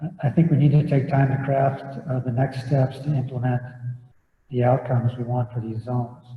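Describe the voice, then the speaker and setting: A soft-spoken man talks at a fairly slow pace. His pitch sits in the medium range, and his intonation stays monotone and flat. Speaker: public commenter at planning meeting. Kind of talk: public comment. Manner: halting.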